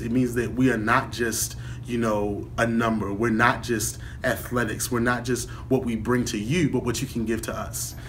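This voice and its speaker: A man with an American accent at a moderate pace, fairly even in intonation, with audible room echo and noticeable background noise. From Baltimore, Maryland. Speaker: college student. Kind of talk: testimony.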